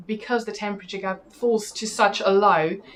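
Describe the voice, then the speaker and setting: A woman at a fairly quick pace, medium pitch and fairly even intonation, with noticeable background noise. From South Africa. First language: Afrikaans. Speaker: TV presenter. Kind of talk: interview.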